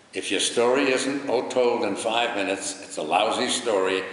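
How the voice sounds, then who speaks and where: A man with an American accent talks at a moderate pace with lively intonation. The recording has audible room echo and noticeable background noise. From New York. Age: 90s. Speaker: retired broadcaster and charity volunteer. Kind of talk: interview.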